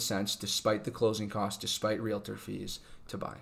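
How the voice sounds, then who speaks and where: In an American accent, a man talks at a fairly quick pace. His fairly low voice has vocal fry. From California. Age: 20s. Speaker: podcast guest, host's boyfriend and new homeowner. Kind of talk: casual chat. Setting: home dining room.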